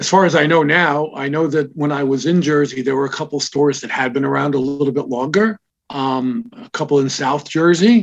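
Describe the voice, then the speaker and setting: This man has a normal speaking voice, pitched fairly high for a man. He talks at a fairly quick pace with ordinary pitch variation. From Israel, raised in New York. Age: 60s. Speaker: comic shop founder. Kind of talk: interview conversation.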